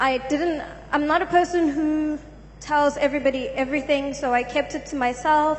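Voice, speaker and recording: With fairly even intonation, she talks at a moderate pace. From South Africa. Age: young. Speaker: church congregant giving testimony. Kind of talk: testimony. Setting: church. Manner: halting. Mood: subdued, sombre. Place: church. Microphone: handheld.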